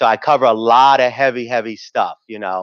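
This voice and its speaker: This man speaks with a New York accent. His tone is bright and sharp. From New York City, South Bronx and Harlem. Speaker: TV news anchor and emcee. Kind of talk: conference emcee remarks. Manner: casual, animated.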